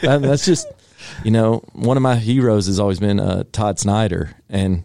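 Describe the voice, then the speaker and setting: With a Southern US accent, a man talks at a fairly quick pace and fairly low pitch, his tone dark and mellow. His pitch varies in an ordinary way, and the recording is very clean with a silent background. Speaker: singer-songwriter. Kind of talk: casual interview. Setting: radio studio.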